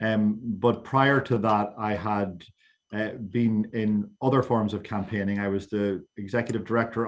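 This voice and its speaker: Speaking with an Irish accent, a man keeps his intonation monotone and flat. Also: quiet background. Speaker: LGBTQ equality campaigner. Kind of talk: panel discussion. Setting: online roundtable. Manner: stammering repetitions.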